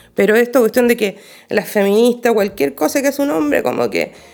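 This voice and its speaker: A woman's fairly high-pitched voice with a Chilean accent, dark, mellow tone and lively intonation. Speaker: podcast co-host. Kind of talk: casual chat.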